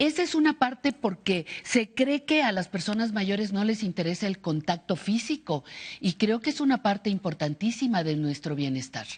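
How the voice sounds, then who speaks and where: Against a quiet background, a woman with a medium-pitched, somewhat breathy voice speaks at a moderate pace with very wide pitch swings. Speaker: TV host. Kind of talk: TV interview.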